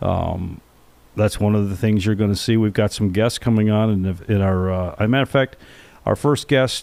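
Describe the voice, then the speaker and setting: A man with an unremarkable speaking voice, fairly low pitch, fairly even intonation, very even loudness and a moderate pace. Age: 60s. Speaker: podcast co-host. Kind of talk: casual chat.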